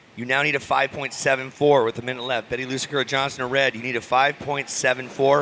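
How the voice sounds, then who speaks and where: Very rapid male speech at a medium pitch, flat and monotone, over noticeable background noise. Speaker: surf contest announcer. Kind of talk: live commentary.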